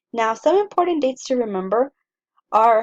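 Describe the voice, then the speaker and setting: A woman talks at a moderate pace in a Spanish accent. The sound is dry and close, with no echo. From US-Mexico border, El Paso, Texas. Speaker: college English instructor. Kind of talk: lecture, syllabus walkthrough. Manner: casual, some filler words.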